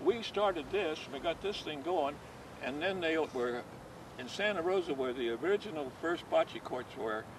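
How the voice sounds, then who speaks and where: A man's voice sits fairly high, with lively intonation at a moderate pace. Noticeable background noise runs underneath. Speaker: bocce league founder. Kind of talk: interview answer.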